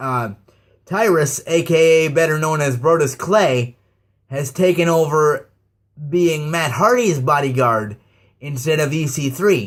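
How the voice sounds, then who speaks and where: With an ordinary speaking voice, a man talks at a fairly high pitch and a fairly slow pace with ordinary pitch variation. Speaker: wrestling commentary youtuber. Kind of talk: casual rant.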